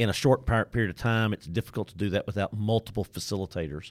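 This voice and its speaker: A very fast East Texas accent with ordinary pitch variation, dry and close with no echo, in a very clean recording against a silent background. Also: man. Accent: East Texas Southern. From Deep East Texas. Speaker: trainer and facilitator. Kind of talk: casual interview. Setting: studio.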